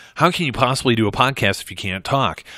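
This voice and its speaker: A man talks in a bright, sharp tone with ordinary pitch variation. The recording is very clean and the background silent. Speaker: podcast host. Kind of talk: solo podcast monologue. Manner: casual, with filler words.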